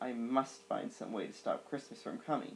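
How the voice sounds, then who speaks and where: A man growls in a put-on character voice at a moderate pace. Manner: growling, sneering.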